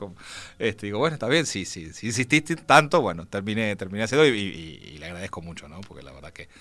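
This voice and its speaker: A man's voice sits at a fairly low pitch but swings very widely, with a bright, sharp tone. The recording is very clean, with a silent background. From Uruguay, Montevideo. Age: 50s. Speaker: game designer and writer. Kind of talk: interview. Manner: halting, many fillers.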